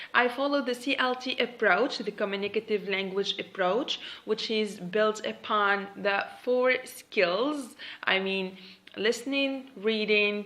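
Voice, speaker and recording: A woman with a Tunisian accent, very slow delivery, a bright, sharp tone and ordinary pitch variation. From Tunisia (Monastir). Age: 20s. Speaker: English teacher. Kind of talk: self-introduction video. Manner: hesitant.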